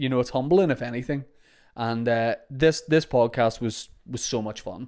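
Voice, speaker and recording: A man speaks with a Northern Irish accent at a moderate pace. The recording is very clean, with a silent background. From Northern Ireland, Holywood, County Down. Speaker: podcast host and comedian. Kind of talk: casual podcast monologue.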